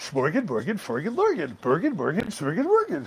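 A man puts on a character voice with a Swedish accent, high-pitched and at a fairly quick pace. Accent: mock Swedish. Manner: nonsense gibberish.

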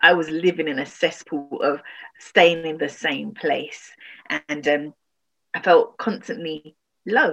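Speaking with a London accent, a woman talks at a fairly slow pace with long, frequent pauses. Her voice is fairly low in pitch, with ordinary pitch variation. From London, Tottenham. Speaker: relationship and grief recovery coach. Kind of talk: interview.

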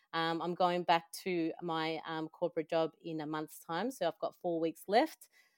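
A woman with an Australian accent talks at a moderate pace, the sound dry and close with no echo. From El Salvador, raised in Australia from young childhood. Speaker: finance industry talent manager. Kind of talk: interview, personal story.

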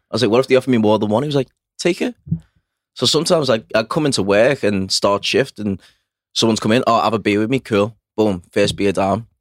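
Recorded very cleanly against a silent background, dry and close with no echo, a man with a Liverpool accent talks very fast at medium pitch with ordinary pitch variation. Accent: Liverpool (Scouse). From Liverpool, England. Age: 30s. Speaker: personal trainer and former firefighter. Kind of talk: casual chat.

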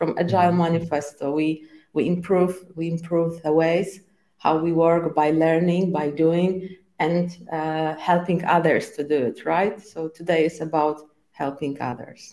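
A woman speaks with a Polish accent at a fairly slow pace. Her voice has a dark, mellow tone, a fairly low pitch and monotone, flat intonation. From Poland. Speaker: scrum trainer. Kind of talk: casual interview.

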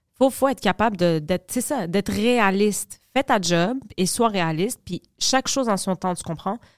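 A woman with an unremarkable speaking voice, medium in pitch, fairly slow with hardly any pauses and lively intonation, in a dry, close sound with no echo. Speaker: podcast co-host. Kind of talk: casual chat.

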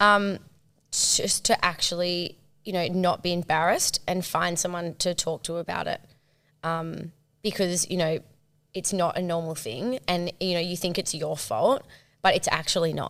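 Fairly even intonation and a moderate pace mark a normal speaking voice on a very clean recording with a silent background. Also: woman, fairly low pitch for a woman. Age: 30s. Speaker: advertising agency owner and content creator. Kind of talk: casual chat.

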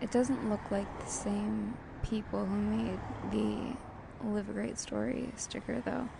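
Noticeable background noise and audible room echo surround the recording. A woman speaks at a fairly slow pace. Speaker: podcast host. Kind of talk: descriptive monologue. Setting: outdoors at a coffee shop on a busy street. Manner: casual, halting with fillers.

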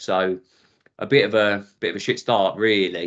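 A man with an Essex accent speaks at a fairly low pitch. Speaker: former police officer. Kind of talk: interview.

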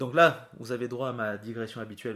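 This man talks at a moderate pace in a southern French accent, his intonation fairly even. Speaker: podcast host and nurse. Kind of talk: casual chat.

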